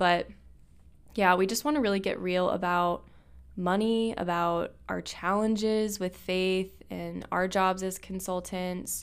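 A plain, everyday voice from a woman, medium in pitch and fairly even in intonation. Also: fairly slow pace. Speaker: podcast host. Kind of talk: casual chat.

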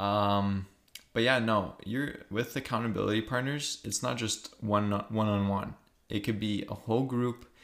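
A man talks at a moderate pace in a fairly low pitch, with fairly even intonation. It is a plain, everyday voice. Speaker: podcast co-host. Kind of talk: casual chat, conversational podcast. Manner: joking, teasing.

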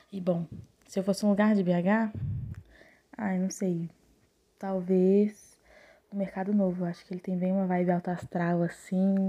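A woman speaks fairly slowly at a medium pitch with a dark, mellow tone. Her intonation is monotone and flat, with long, frequent pauses. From Belo Horizonte, Brazil. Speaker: podcast guest. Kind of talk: casual chat.

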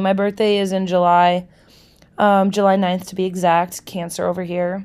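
The voice carries an American accent. The recording is very clean with a silent background. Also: woman. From Milwaukee, Wisconsin, US Midwest. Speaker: podcast host, social worker. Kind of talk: casual solo podcast monologue. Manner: animated.

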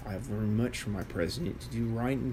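The voice has an American accent, a dark, mellow tone and a somewhat breathy quality, at a very fast pace. Audible room echo surrounds it. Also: man. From United States. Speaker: author reading own book. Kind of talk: reading aloud.

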